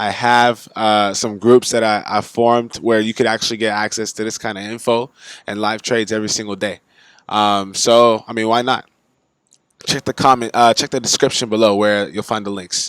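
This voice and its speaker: A man with an American accent, fairly low pitch and monotone, flat intonation at a moderate pace, in a very clean recording with a silent background. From United States. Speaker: forex trading youtuber. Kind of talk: casual tutorial. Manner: casual, filler-heavy.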